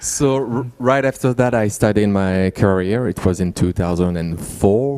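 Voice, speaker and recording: Speaking with a French accent, a man uses a dark, mellow tone at a fairly low pitch, moving at a moderate pace with ordinary pitch variation. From France. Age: 30s. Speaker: musical theater actor and singer. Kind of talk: talk with live interpreter.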